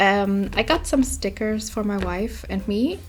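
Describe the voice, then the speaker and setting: A woman is speaking. She has a non-native accent. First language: not English. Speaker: art YouTuber. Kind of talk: casual sketchbook tour talk. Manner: hesitant, many fillers.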